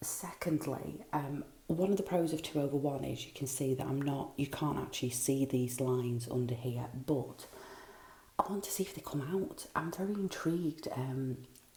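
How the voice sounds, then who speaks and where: Over noticeable background noise, a woman speaks at a moderate pace with a very deep, low pitch and ordinary pitch variation. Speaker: craft vlogger. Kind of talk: casual vlog. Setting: at a kitchen sink. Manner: hesitant, many ums.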